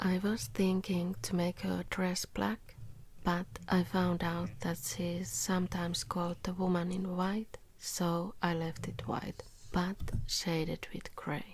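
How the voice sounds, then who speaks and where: A woman talks softly in a somewhat breathy, fairly low voice. Her pace is fairly slow. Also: ordinary pitch variation. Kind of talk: ASMR drawing voice-over. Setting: home studio ASMR recording. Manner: soft-spoken, quiet.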